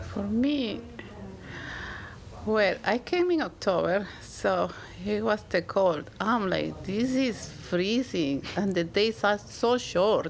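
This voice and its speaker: A woman with a Spanish accent at a very slow pace, her loudness very even. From Peru. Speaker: immigrant guest. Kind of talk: casual conversation. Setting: library.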